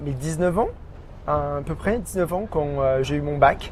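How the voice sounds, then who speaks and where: Over noticeable background noise, a man talks at a fairly high pitch. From France, Burgundy (near Auxerre). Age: 30s. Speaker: expatriate interviewee, digital marketing officer. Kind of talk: podcast interview. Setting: outdoor café terrace. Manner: halting, many hesitations.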